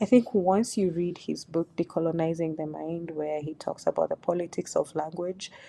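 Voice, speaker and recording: In a Kenyan accent, a woman speaks with a dark, mellow tone at a fairly low pitch. She keeps a moderate pace with ordinary pitch variation. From Kenya, Duruma community. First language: Duruma. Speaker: YouTuber on African culture. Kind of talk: video commentary vlog.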